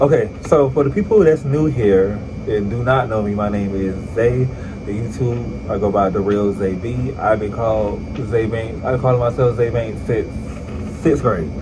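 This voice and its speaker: Amid noticeable background noise and audible room echo, a man with a fairly low pitch speaks fairly slowly with lively intonation. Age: 20s. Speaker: vlogger. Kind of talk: casual vlog talk. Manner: casual, chatty.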